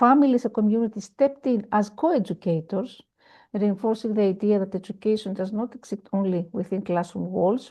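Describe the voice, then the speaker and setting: A woman at medium pitch with a Greek accent, fairly quick in pace and ordinary in pitch variation. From Greece. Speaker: education panelist. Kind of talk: panel presentation. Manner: halting.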